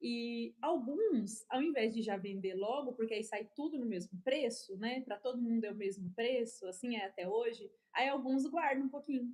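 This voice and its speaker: Hardly pausing, a woman talks at a moderate pace. Her voice is fairly high, with ordinary pitch variation. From Brazil, São Paulo. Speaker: preacher. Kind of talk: sermon. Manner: animated.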